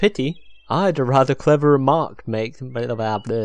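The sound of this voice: An unforced reading voice, its pitch varying in an ordinary way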